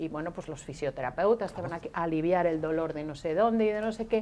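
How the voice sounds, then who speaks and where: Her tone is dark and mellow, with lively intonation. The woman keeps a moderate pace. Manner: quiet, low volume.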